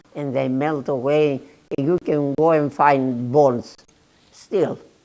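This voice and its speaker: At a very slow pace, a woman talks at a very deep, low pitch in a dark, mellow tone with ordinary pitch variation. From Greece, Macedonia. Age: 80s+. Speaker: Holocaust survivor. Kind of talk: testimony. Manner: halting.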